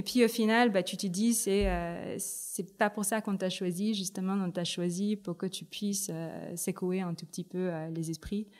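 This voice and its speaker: A woman speaks at a fairly slow pace with hardly any pauses. Her pitch is medium with fairly even intonation, on a very clean recording with a silent background. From Philippines, Manila. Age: 30s. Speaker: tech ecosystem director. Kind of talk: interview. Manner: hesitant, many fillers.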